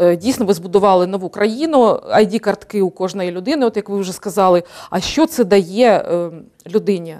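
Against a quiet background, a woman talks at a moderate pace. Her tone is dark and mellow. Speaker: TV host. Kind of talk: TV interview, moderating. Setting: TV studio. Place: studio. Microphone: lapel.

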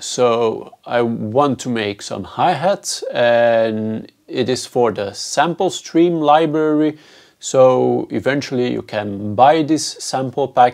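Against a quiet background, the voice moves at a very slow pace with ordinary pitch variation. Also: man. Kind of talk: tutorial intro. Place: studio.

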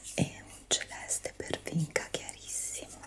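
Very slow whispering from a woman. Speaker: ASMR creator. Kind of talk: soft-spoken ASMR chat. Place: home room. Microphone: studio mic.

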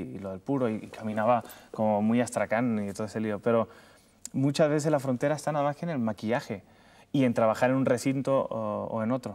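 This man speaks at a very fast pace. His pitch varies in an ordinary way. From Cuba. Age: 30s. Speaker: comedian and TV presenter. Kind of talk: interview answer. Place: studio.

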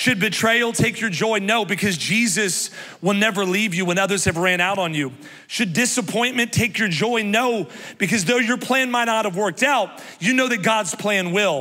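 Moderate pace, an animated tone and a raised, projected voice with very even loudness, an American accent, ordinary pitch variation, over a quiet background. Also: man, high pitch for a man. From US Midwest. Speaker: pastor. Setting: church stage with live congregation. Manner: animated, exuberant, rallying the crowd with repeated come on; warm, self-deprecating, confessional asides. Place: stage. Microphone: handheld.

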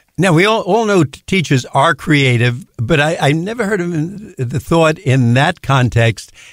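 A man with an unremarkable speaking voice talks at a fairly slow pace and fairly high pitch, using lively intonation, very even loudness and hardly any pauses, in a very clean recording with a silent background. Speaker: radio host. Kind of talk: radio interview. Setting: studio.

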